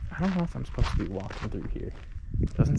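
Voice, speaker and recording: A man is talking fairly fast. Background noise is noticeable throughout. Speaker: travel vlogger. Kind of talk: casual walking tour vlog. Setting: outdoors. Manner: soft-spoken, trying to be quiet; casual, filler-heavy.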